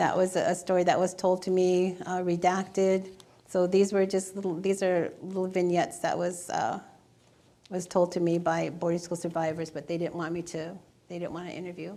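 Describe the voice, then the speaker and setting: Her tone is dark and mellow as a woman speaks in a monotone, flat intonation. She keeps a moderate pace. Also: medium pitch for a woman. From North Dakota reservation, Ojibwe. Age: 70s. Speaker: poet and oral historian. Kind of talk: audience Q&A. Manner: halting.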